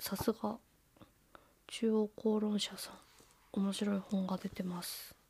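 A woman's medium-pitched, somewhat breathy voice, with a dark, mellow tone and a relaxed tone. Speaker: podcast host, bookseller. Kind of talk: casual solo talk. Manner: relaxed, with frequent fillers.

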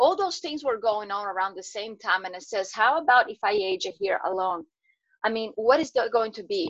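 In a Portuguese accent, a woman speaks at a moderate pace with a fairly high pitch, lively intonation and big swings in loudness. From Brazil. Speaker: health and wellness coach. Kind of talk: interview. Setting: video call.

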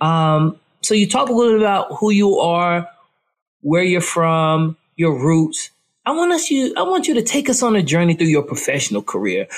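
Very even in loudness, a man with an American accent talks in a high pitch with very wide pitch swings. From North Carolina small town. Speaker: podcast host. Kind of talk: interview.

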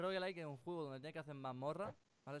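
This man's fairly high voice shows ordinary pitch variation. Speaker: podcast host and streamer. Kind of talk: casual chat. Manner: animated.

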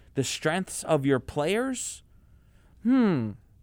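In a very clean recording with a silent background, a man speaks very slowly at a high pitch. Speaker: student sports radio co-host. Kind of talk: casual sports chat.

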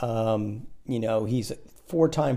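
A man speaks with fairly even intonation. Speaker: podcast guest, host's father. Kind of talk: casual chat.

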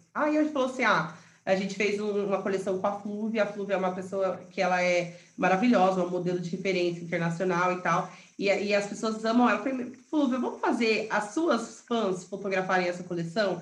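Room echo is audible as a woman speaks at a fairly quick pace. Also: medium pitch for a woman, ordinary pitch variation. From Paraná interior, Brazil. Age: 30s. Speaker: entrepreneur and real estate broker. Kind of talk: interview.

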